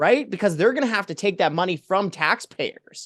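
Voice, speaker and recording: A man's animated tone. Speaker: taxpayer advocacy director. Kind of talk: political commentary interview. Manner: fast.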